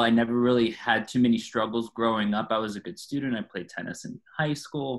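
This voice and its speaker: A man with an American accent speaks at medium pitch with fairly even intonation. It is an ordinary speaking voice. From Florida, US. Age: 30s. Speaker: person in addiction recovery. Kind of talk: testimony.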